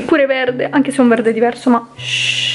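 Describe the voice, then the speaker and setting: Amid audible room echo and light background noise, a woman talks with fairly even intonation. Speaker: vlogger. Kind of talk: casual vlog chat. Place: home room. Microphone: phone near.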